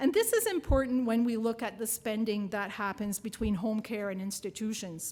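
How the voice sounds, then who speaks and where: Spoken with a French accent and ordinary pitch variation, the recording is very clean with a silent background. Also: woman. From New Brunswick, Canada. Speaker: nursing professor and researcher. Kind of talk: keynote lecture.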